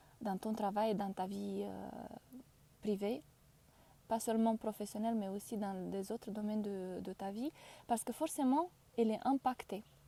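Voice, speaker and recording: Speaking with a non-native accent, a woman uses a fairly high pitch and a dark, mellow tone with ordinary pitch variation. Her speech has long, frequent pauses. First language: not French (speaking French). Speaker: career change coach. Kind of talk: live stream talk. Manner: halting, frequent hesitations; deliberate, careful word choice.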